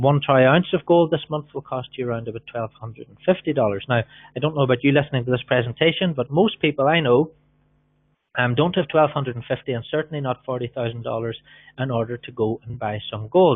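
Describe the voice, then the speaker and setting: At a very fast pace, a man with an Irish accent talks at a medium pitch with ordinary pitch variation and big swings in loudness. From Ireland. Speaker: business opportunity presenter. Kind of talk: webinar sales presentation. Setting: live webinar.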